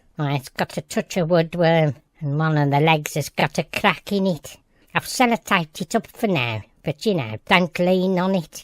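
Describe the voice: This put-on character voice sits at a middle pitch and moves at a moderate pace on a very clean recording with a silent background.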